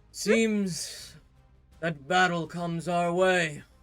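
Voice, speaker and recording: A man speaks in a put-on character voice, high-pitched and very slow, with fairly even intonation over faint background music. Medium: actual play. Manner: solemn, formal, dramatic.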